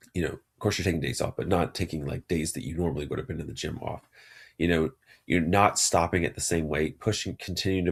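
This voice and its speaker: A man's very deep, low voice with vocal fry and ordinary pitch variation, in an American accent, on a very clean recording with a silent background. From Texas. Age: 40s. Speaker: psychiatrist podcast host. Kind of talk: solo podcast monologue. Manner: casual, conversational with fillers.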